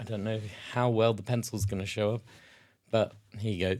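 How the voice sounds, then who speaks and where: A British accent with fairly even intonation, in a very clean recording against a silent background. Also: man. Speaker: tabletop wargaming youtuber. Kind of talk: casual tutorial while sketching.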